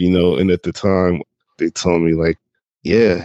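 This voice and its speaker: Vocal fry in a man's very deep, low voice. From Jacksonville, Florida. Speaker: artist and advertising director. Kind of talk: casual interview.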